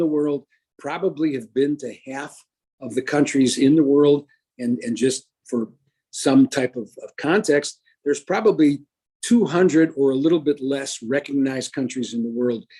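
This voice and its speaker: A man speaks at a moderate pace with a dark, mellow tone. His pitch sits fairly high, with ordinary pitch variation. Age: 70s. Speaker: business executive and former coach. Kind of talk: interview. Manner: halting.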